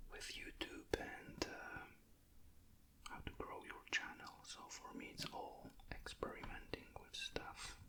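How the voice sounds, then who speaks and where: Someone whispers at a very slow pace in a calm, relaxed tone. Noticeable background noise is present. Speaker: ASMR creator and miniature painter. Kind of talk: ASMR hobby painting talk to camera. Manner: whispered, calm, relaxed.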